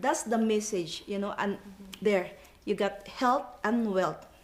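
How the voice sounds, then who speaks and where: A woman with a non-native accent, a fairly high pitch and a fairly slow pace. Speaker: network marketing distributor. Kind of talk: panel discussion. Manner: animated.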